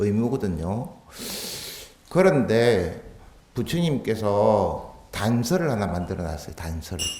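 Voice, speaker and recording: Speaking at a very slow pace with long, frequent pauses, a man with a fairly low pitch swings his pitch very widely amid noticeable background noise and audible room echo. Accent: Gyeongsang. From Busan, Gyeongsang region, South Korea. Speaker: Buddhist monk giving a dharma talk. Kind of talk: sermon. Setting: temple hall with audience. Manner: conversational, with rhetorical questions.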